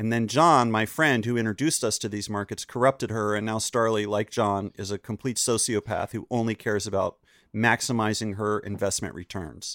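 In an ordinary speaking voice, a man with an American accent talks at a fairly quick pace, fairly low in pitch with fairly even intonation, in a dry, close sound with no echo. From North Carolina, Chapel Hill. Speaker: podcast guest, comedian and podcaster. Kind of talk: casual chat. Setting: video call.

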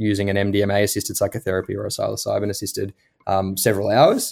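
Spoken at a very fast pace with an Australian accent, the voice has a dark, mellow tone on a very clean recording with a silent background. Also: man. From Australia, Melbourne. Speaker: medical doctor. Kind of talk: interview.

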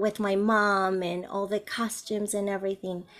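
In a very clean recording with a silent background, a woman at medium pitch speaks with a Spanish accent. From Colombia. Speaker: bilingual teacher and resource entrepreneur. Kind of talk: interview.

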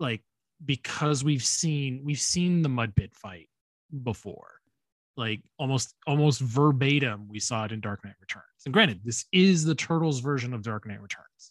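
This is an ordinary speaking voice at a moderate pace. Its intonation is lively, with big swings in loudness. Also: man, medium pitch for a man. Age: 30s. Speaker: podcast co-host. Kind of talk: casual chat.

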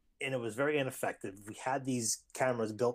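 A man talks at a fairly quick pace and medium pitch, with fairly even intonation, in a plain, everyday voice. The recording is very clean, with a silent background. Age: 30s. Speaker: elementary school teacher and artist. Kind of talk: casual chat.

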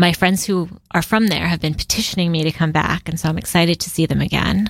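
A woman with an ordinary speaking voice, fairly low in pitch, at a fairly quick pace, with fairly even intonation. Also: very clean recording, silent background. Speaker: digital nomad and marketing consultant. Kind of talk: interview conversation.

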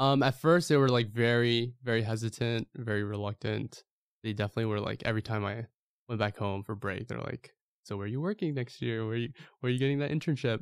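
A man speaks very fast at a medium pitch with ordinary pitch variation. The recording is very clean and silent in the background, dry and close with no echo. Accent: American. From US, New York. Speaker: YouTuber and clothing brand owner. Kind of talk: casual chat.

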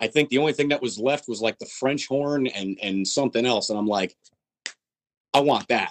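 A man in a normal speaking voice, medium-pitched with ordinary pitch variation, at a moderate pace, with a dry, close sound and no echo. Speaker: death metal drummer. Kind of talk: casual interview.

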